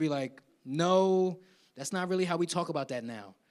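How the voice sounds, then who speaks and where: A man with an American accent talks at a moderate pace in a fairly high pitch with ordinary pitch variation. It is an ordinary speaking voice, heard in a very clean recording with a silent background. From South Jersey (Willingboro), US. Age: 50s. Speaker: keynote speaker, university professor. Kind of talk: conference Q&A answer. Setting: live conference in church with audience. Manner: conversational, repeats words.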